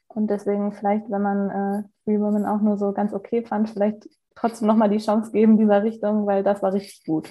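Speaking at a fairly quick pace, a woman has a dark, mellow, somewhat breathy voice at medium pitch, with monotone, flat intonation. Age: 20s. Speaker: law trainee. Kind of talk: casual chat. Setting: at home, remote call.

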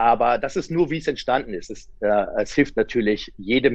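Against a quiet background, a man talks at a moderate pace and medium pitch. He has an ordinary speaking voice. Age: 40s. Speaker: sports scientist and coach. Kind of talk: interview.

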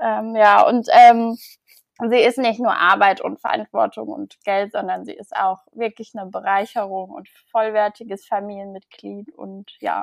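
Heard in a dry, close sound with no echo, a woman speaks at a fairly slow pace with big swings in loudness. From Germany, Mannheim. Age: 20s. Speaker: blogger. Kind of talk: interview. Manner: halting, many fillers.

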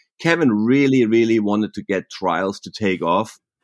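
Speaking in a German accent, a man has a fairly low pitch and ordinary pitch variation. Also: quiet background. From southwestern Germany. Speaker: professional mountain biker. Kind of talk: interview. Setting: remote call from home.

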